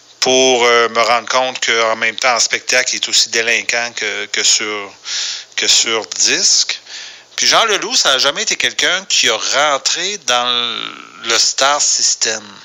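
A man with a Quebec accent at a very slow pace, medium pitch and ordinary pitch variation, over noticeable background noise. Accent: Québécois French. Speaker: radio producer. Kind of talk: voicemail monologue. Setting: phone message.

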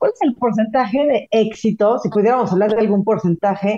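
A fairly quick pace in a Mexican accent. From Mexico. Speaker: podcast co-host.

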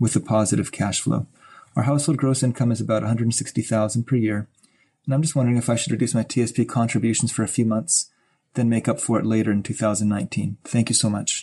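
A man speaks very fast in a somewhat breathy voice at medium pitch, with a dark, mellow tone, very even loudness, fairly even intonation and a quiet background. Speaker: caller. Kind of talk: voicemail question.

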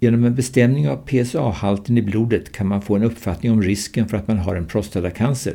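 This man has a fairly low pitch and a dark, mellow tone. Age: 70s. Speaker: retired surgeon. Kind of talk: interview, prepared from own writings. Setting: recorded conversation in Stockholm. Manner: formal.

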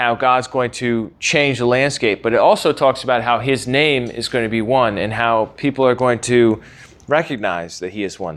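With an American accent, a man talks in an ordinary speaking voice at medium pitch and moderate pace, with ordinary pitch variation, in a very clean recording with a silent background. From US. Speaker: podcast host and Bible teacher. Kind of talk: lecture.

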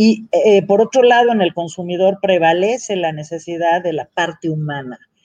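A woman's normal speaking voice, fairly low in pitch, with ordinary pitch variation at a moderate pace. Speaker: industry association director. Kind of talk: panel discussion.

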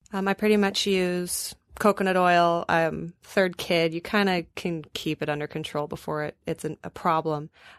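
This woman has an ordinary speaking voice, fairly low in pitch, with fairly even intonation at a moderate pace and hardly any pauses. The sound is dry and close with no echo against a quiet background. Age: 20s. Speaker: lactation specialist and postpartum doula. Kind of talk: casual panel discussion.

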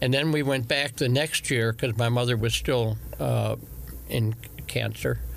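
A man talks at a fairly slow pace and medium pitch. His intonation is fairly even, with vocal fry.

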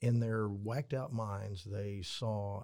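A man speaks at a fairly low pitch in a dark, mellow, somewhat breathy tone with fairly even intonation, on a very clean recording with a silent background. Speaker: retired Texas Ranger. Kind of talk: casual interview. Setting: studio, in person.

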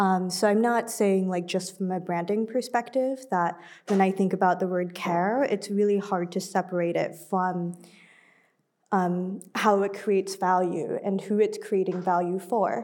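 A woman's ordinary speaking voice at medium pitch, fairly slow, with fairly even intonation, in a very clean recording over a silent background. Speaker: film curator. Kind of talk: panel discussion. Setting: stage with audience.

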